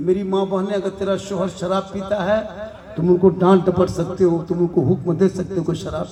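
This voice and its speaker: A man talks at a high pitch. There is noticeable background noise. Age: 50s. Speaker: Islamic preacher. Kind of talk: religious sermon.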